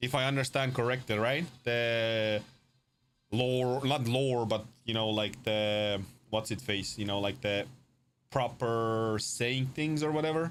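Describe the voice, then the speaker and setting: A man with a non-native accent speaks at a fairly slow pace and medium pitch. His intonation is fairly even and his loudness very even. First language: not English. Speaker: game dev streamer. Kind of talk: casual live stream chat. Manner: halting, many fillers.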